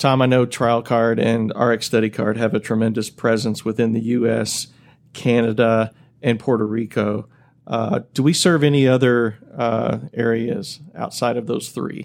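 In an unremarkable speaking voice, a man talks at a fairly slow pace with medium pitch and fairly even intonation, recorded very cleanly against a silent background. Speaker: podcast host, marketing VP. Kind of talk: podcast hosting, scripted intro.

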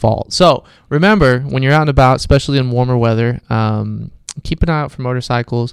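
A man's unremarkable speaking voice, medium in pitch, with ordinary pitch variation and a fairly quick pace. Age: 30s. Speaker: police officer, podcast host. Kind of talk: casual chat. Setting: studio.

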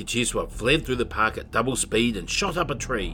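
Animated, playful tone from a man at a moderate pace, very wide pitch swings, and music in the background. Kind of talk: children's audiobook narration. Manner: animated, storytelling delivery with character voices and playful drama.

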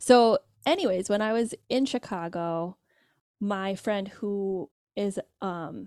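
The recording is very clean, with a silent background. A woman with an American accent speaks in a dark, mellow tone. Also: dry, close sound with no echo. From Michigan, US. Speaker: social scientist and parenting educator. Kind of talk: interview.

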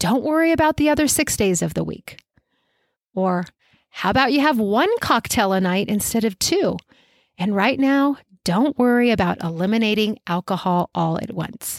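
Caught in a very clean, dry, close recording with no echo and a silent background, a woman speaks at a moderate pace. Her fairly high voice has an animated tone and lively intonation. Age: 40s. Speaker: running coach and podcast host. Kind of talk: solo podcast monologue.

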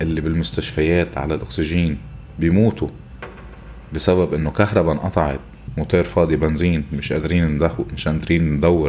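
A man with a Lebanese accent speaks at a moderate pace in a very deep, low voice. Noticeable background noise runs underneath. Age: 40s. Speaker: podcast host. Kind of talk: improvised monologue. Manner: animated.

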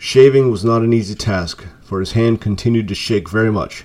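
The clip features an unforced reading voice.

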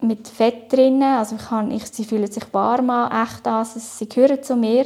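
Pitched fairly high, a woman speaks in a dark, mellow tone with monotone, flat intonation. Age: 30s. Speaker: cancer patient. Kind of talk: personal testimony interview. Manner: hesitant, many fillers.

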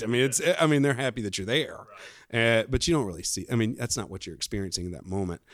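With an Alabama accent, a man speaks at medium pitch using ordinary pitch variation. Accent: Southern US (Alabama). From US South, coastal Alabama. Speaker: businessman, parishioner. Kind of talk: casual interview. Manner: halting, many fillers.

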